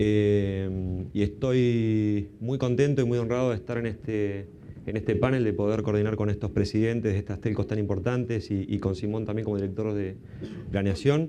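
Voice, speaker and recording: Audible room echo surrounds a man with an Argentine accent who talks at a moderate pace in a fairly low pitch, his tone dark and mellow and his intonation fairly even. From Argentina. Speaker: panel moderator, consultant. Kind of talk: conference panel introduction. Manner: hesitant, many fillers.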